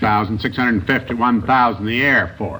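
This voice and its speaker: In an American accent, a man with a plain, everyday voice talks at a moderate pace and medium pitch. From United States. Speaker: senator being interviewed on a news panel show. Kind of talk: television interview answer.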